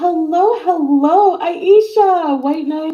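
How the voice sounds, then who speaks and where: A woman's squeaky put-on character voice, extremely high in pitch, at a very slow pace. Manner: mocking, teasing.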